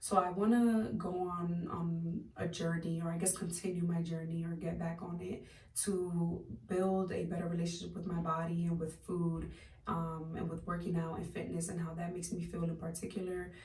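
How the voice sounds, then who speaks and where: At a moderate pace, the speech runs in a monotone, flat intonation with audible room echo. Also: woman, fairly low pitch for a woman. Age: 20s. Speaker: lifestyle vlogger. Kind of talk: casual vlog monologue. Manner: hesitant, many fillers.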